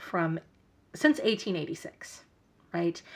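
This voice belongs to a woman. She swings across a very wide pitch range. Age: 40s. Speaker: podcast host. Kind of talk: casual monologue. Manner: rambling, casual.

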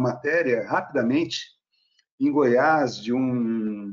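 This man has an unremarkable speaking voice and talks at a fairly slow pace with ordinary pitch variation. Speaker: research engineer. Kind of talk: casual panel discussion.

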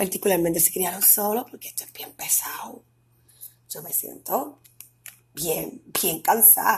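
Taking long, frequent pauses, a woman speaks at a fairly slow pace with big swings in loudness. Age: 30s. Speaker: podcast host. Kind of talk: casual monologue.

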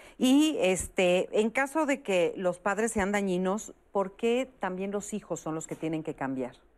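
A woman talks at a fairly slow pace with very wide pitch swings and hardly any pauses. The background is quiet. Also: medium pitch for a woman. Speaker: TV talk show host. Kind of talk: talk show moderation. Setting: studio.

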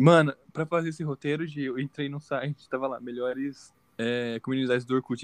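Speaking with hardly any pauses, a man talks at a fairly quick pace with fairly even intonation. He has an ordinary speaking voice and a fairly high pitch. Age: 20s. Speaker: podcast co-host, university student. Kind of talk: casual chat.

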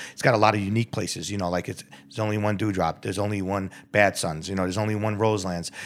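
A man with a New York accent talks very fast in a fairly low, monotone, flat voice. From New York, the Bronx. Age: 50s. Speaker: restaurant owner. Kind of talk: casual chat.

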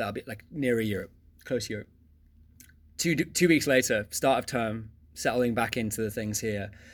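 A man speaks at a moderate pace and medium pitch with ordinary pitch variation and long, frequent pauses, on a very clean recording with a silent background. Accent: English. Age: 30s. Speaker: economics teacher. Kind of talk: casual interview. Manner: energetic; hesitant, many fillers.

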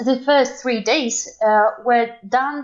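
A woman with a Belarusian accent speaks at a high pitch. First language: Russian or Belarusian. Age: 20s. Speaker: interviewee from Belarus. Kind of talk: casual interview. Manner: halting, many fillers.

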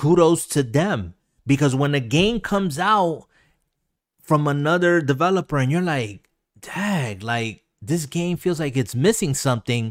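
A man with an unremarkable speaking voice, fairly high pitch and a fairly slow pace, on a very clean recording with a silent background. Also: lively intonation. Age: 40s. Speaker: gaming podcast host. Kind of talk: casual chat. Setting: live video stream.

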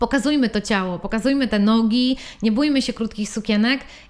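The woman's fairly high voice shows ordinary pitch variation. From Poland, Włocławek. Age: 30s. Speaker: stylist. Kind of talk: casual chat. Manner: animated.

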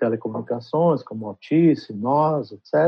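Speaking at a very slow pace, a man uses lively intonation in a fairly high voice. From Brazil (São Paulo), born in Trás-os-Montes, Portugal. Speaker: advertising executive. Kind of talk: interview. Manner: halting.

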